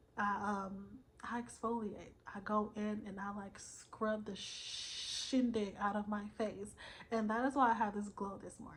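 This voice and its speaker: A woman speaks at a fairly high pitch in a flat, monotone delivery. Her loudness swings widely, and the room echo is audible. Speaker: self-help vlogger. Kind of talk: motivational vlog monologue. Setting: recorded at night, solo video. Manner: casual, filler-heavy.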